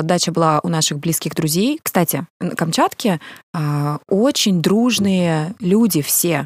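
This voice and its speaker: A woman with a plain, everyday voice talks at a fairly slow pace and a fairly low pitch, with ordinary pitch variation and a dry, close sound with no echo. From Russian Far East, Kamchatka. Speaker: event organizer and singer. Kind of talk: casual chat.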